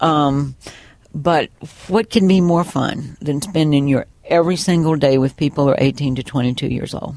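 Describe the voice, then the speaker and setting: The voice has a dark, mellow tone. It carries a Southern US accent. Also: woman, very deep, low pitch for a woman, ordinary pitch variation, moderate pace. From US South. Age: 60s. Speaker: retired college bookstore manager and former teacher. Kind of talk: oral history interview. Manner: animated.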